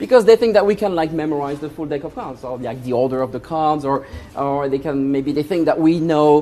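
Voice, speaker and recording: A man with a French accent at a fairly quick pace, amid noticeable background noise. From France. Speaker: magician. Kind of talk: stage magic performance. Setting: stage with audience. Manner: animated.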